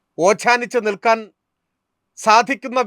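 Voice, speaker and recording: Recorded very cleanly against a silent background, a man's bright, sharp voice has a dry, close sound with no echo. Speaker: political commentator. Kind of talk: scripted narration. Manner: formal.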